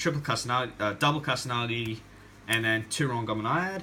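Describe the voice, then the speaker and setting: A man talks at a fairly quick pace in a medium pitch, with ordinary pitch variation and an unremarkable speaking voice. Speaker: gaming YouTuber. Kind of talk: deck profile tutorial. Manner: casual with fillers.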